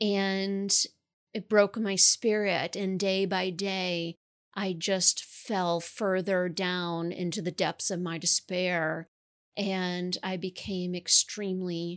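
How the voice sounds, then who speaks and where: Slowly and with monotone, flat intonation, a woman with an American accent speaks at a medium pitch, recorded with a dry, close sound and no echo. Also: very clean recording, silent background. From New York. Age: 30s. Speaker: author. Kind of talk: interview testimony.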